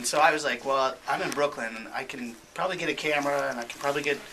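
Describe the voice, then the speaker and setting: Over noticeable background noise, a man rattles along at a very fast pace, his pitch varying in an ordinary way. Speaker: filmmaker. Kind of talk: radio interview. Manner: soft-spoken; halting. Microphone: too quiet, level turned up.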